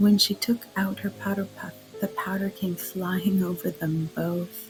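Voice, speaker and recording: Over background music, a soft-spoken voice moves at a very slow pace. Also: woman. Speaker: narrator. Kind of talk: sleep story. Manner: quiet, soft-spoken.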